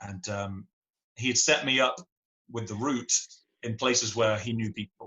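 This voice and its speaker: With an English accent, a man talks at medium pitch and a moderate pace. His intonation is fairly even, and he leaves long, frequent pauses. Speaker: singer-songwriter. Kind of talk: podcast interview answer.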